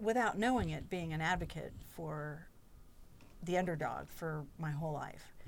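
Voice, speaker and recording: Recorded with audible room echo, a woman speaks fairly slowly in an American accent. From North Carolina, Chapel Hill. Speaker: employee forum chair. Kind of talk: podcast interview.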